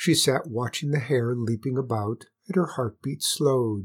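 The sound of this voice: The background stays quiet. Over it comes an unforced reading voice with ordinary pitch variation.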